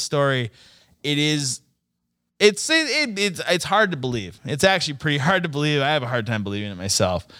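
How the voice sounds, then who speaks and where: Using very wide pitch swings and a bright, sharp tone, a man with an American accent talks at a fairly quick pace. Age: 30s. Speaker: mechanic. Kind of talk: casual chat. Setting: studio.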